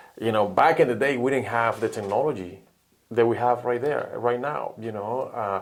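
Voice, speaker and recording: With a Spanish accent, a man talks at a moderate pace and a medium pitch, with ordinary pitch variation. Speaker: sports recruiting advisor. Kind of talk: podcast interview.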